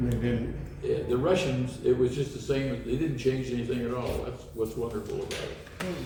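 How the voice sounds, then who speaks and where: A man talks at a moderate pace with hardly any pauses. There is noticeable background noise. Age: 80s+. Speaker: lifelong railfan and model railroader. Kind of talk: storytelling, reminiscing to a small group.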